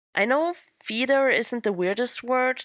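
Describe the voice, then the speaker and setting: A woman with a non-native accent speaks at a moderate pace, her pitch swinging very widely, on a very clean recording with a silent background. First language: not English. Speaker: podcast host. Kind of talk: scripted narration.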